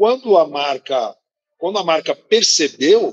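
A man speaks at a high pitch with lively intonation. The sound is dry and close, with no echo. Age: 50s. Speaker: business executive. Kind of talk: interview.

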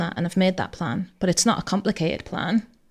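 Vocal fry marks this fairly quick delivery with fairly even intonation, on a very clean recording with a silent background. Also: woman. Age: 40s. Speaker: pensions training manager. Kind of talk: casual chat.

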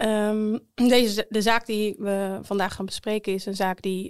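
With a normal speaking voice, a woman talks at a medium pitch and fairly even intonation. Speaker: defense lawyer. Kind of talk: interview.

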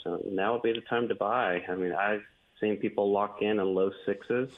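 Moderately paced speech from a man, a normal speaking voice pitched fairly low. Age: 30s. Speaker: realtor. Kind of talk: radio interview.

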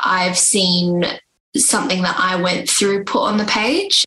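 A woman with a normal speaking voice at medium pitch and a fairly slow pace. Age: 20s. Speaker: young adult author. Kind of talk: interview.

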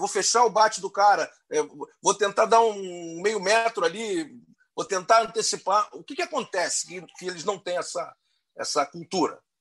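Big swings in loudness mark this man's high-pitched voice. He speaks at a moderate pace with ordinary pitch variation. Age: 50s. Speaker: podcast host. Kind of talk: casual chat.

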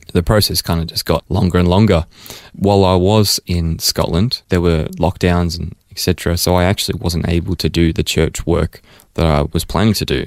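Dry and close with no echo, a man's very deep, low voice moves at a fairly quick pace with fairly even intonation. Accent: Australian. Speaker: missionary. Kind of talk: interview. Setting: studio.

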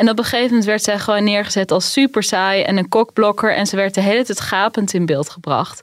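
With hardly any pauses, a woman talks very fast at a medium pitch with ordinary pitch variation. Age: 30s. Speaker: finance journalist. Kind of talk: casual chat.

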